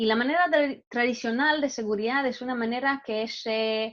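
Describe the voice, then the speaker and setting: A woman talks at a moderate pace with a non-native accent. Her pitch is high. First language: not Spanish (speaking Spanish). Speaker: cybersecurity product manager. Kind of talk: webinar presentation. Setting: online webinar. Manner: halting, many fillers and restarts.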